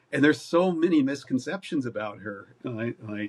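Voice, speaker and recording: Medium-speed speech from a man with an American accent, very cleanly recorded against a silent background. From US West, Oregon. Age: 60s. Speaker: wildlife filmmaker. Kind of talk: interview. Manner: halting.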